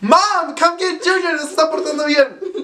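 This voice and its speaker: With noticeable background noise behind him, a man speaks in a raised, projected voice with an animated tone. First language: Spanish. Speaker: YouTuber. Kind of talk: casual chat.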